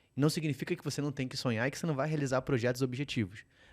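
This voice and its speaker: In a very clean recording with a silent background, a man with a Rio de Janeiro accent talks at a very fast pace and a fairly high pitch with ordinary pitch variation. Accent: carioca, noticeable. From Rio de Janeiro, Brazil. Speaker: podcast host, financial educator. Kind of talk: podcast interview.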